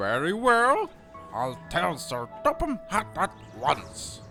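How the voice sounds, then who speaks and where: A man's put-on character voice, high-pitched and very slow, with clear music in the background. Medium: audio drama.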